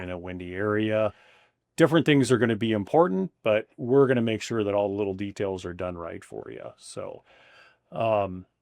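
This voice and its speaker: At a moderate pace, an ordinary speaking voice with ordinary pitch variation shows big swings in loudness. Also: man, fairly low pitch for a man. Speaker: roofing company owner. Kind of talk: interview answer.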